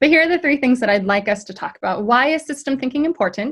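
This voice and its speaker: A somewhat breathy voice with an American accent comes through against a quiet background. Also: woman. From US West Coast, San Francisco. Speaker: ministry diversity director. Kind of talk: webinar talk. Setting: video call. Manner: fast.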